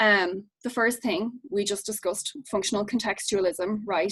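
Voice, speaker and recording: A woman with an Irish accent and a medium pitch speaks with ordinary pitch variation, in a dry, close sound with no echo. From Ireland. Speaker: behavior analyst. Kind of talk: lecture. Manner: fast.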